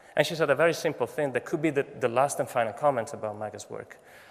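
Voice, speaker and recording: With a non-native accent, a man is talking. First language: Italian. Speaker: photography professor. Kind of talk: commencement speech. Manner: halting.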